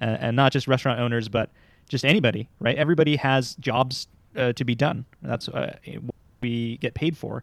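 Vocal fry is heard in a man's voice. He talks at a medium pitch. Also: ordinary pitch variation, fairly quick pace, dry, close sound with no echo. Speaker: podcast host. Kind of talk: casual podcast conversation.

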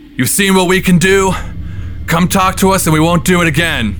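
Putting on a gruff character voice, a man speaks fairly quickly at a high pitch for a man, with fairly even intonation, very even loudness and clear background noise. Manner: extremely confident.

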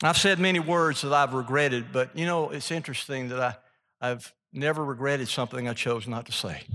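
A man with a Mississippi accent talks fairly quickly with hardly any pauses, his fairly high voice bright and sharp with ordinary pitch variation, against a quiet background. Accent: Southern US (Mississippi). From Mississippi, US South. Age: 70s. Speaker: author and speaker, former businessman. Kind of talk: sermon-like talk to a live audience. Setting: stage with audience.

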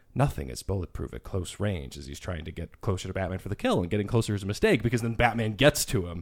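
On a very clean recording with a silent background, a man speaks at a very fast pace with a fairly low pitch, vocal fry and big swings in loudness. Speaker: podcast producer. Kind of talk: casual chat.

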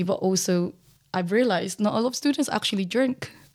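A woman's words come at a fairly quick pace. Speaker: former student society president, LGBTQ+ activist. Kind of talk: interview. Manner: shy.

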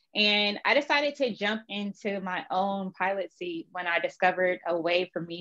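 A woman speaks at a fairly slow pace with a medium pitch and ordinary pitch variation. The sound is dry and close with no echo, over a quiet background. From California, Vallejo. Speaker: entrepreneur, fashion brand founder. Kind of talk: interview.

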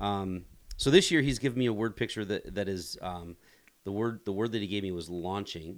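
In a normal speaking voice with an American accent, a man talks at a moderate pace with ordinary pitch variation on a very clean recording with a silent background. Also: fairly low pitch for a man. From US Midwest, rural northeast Ohio. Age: 40s. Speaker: pastor. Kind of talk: podcast interview.

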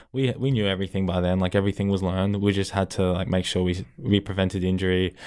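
A man's very deep, low voice in an Australian accent, very fast with hardly any pauses, very even in loudness and fairly even in intonation. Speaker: college football punter. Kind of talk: casual interview.

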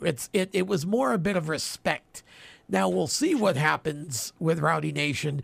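This man's voice is fairly high-pitched with very wide pitch swings. His loudness stays very even. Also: moderate pace. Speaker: radio co-host. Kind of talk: casual chat.

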